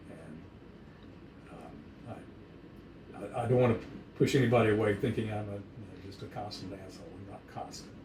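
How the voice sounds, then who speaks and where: Audible room echo surrounds a man with a fairly low pitch. He talks at a moderate pace with long, frequent pauses and big swings in loudness. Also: ordinary pitch variation. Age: 70s. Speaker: dog breeder. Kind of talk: casual chat.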